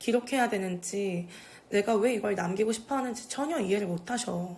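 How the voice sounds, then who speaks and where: A woman's ordinary speaking voice, medium in pitch, with ordinary pitch variation and a moderate pace. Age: young. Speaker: video creator documenting older residents' stories. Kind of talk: casual talk to camera. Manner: informal, relaxed.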